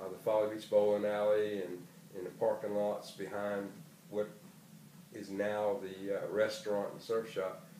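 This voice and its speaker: With a South Carolina Lowcountry accent, a man speaks at a moderate pace in a fairly low voice with fairly even intonation, amid noticeable background noise and audible room echo. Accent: South Carolina Lowcountry Southern US. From South Carolina, Charleston area. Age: 60s. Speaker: retired educator. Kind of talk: oral history interview. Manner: hesitant, frequent fillers.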